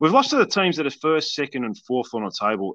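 A man with an Australian accent speaks against a quiet background. His fairly high voice has a bright, sharp tone and swings very widely in pitch. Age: 40s. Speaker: podcast host. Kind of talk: interview. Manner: halting.

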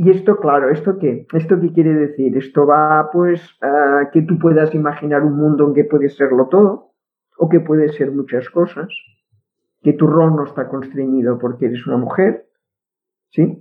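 The speaker has a Catalan accent. The pace is moderate. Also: woman, very deep, low pitch for a woman, ordinary pitch variation. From Catalonia. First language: Catalan (speaking Spanish). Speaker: linguist. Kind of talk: interview. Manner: halting, many repetitions.

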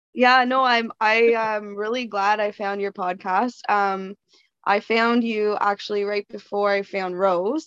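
A woman with a Canadian accent has an ordinary speaking voice at a medium pitch. Her intonation is fairly even and her pace fairly slow. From Canada. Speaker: anonymous guest, parent with BPD. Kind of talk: casual chat.

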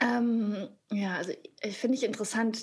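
A woman with a fairly high pitch is heard on a very clean recording against a silent background. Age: 30s. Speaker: actress and author. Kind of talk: casual chat.

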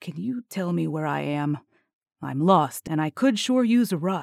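A quiet, put-on character voice at a middle pitch and moderate pace, in a very clean recording with a silent background. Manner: lowered voice, quiet.

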